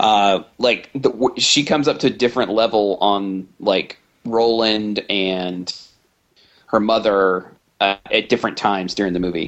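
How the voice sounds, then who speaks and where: With an unremarkable speaking voice, a man talks in a fairly low pitch at a fairly slow pace and with fairly even intonation. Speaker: podcast host. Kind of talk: casual chat.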